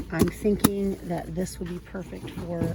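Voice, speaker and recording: A woman speaks at a moderate pace in a fairly low pitch. Noticeable background noise is present. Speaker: YouTuber. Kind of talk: shopping vlog narration. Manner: casual, chatty.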